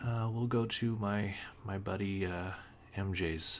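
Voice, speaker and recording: A quiet man with a fairly low pitch talks over audible room echo. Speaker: gaming guide reviewer. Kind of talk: unscripted tutorial. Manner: halting with many fillers.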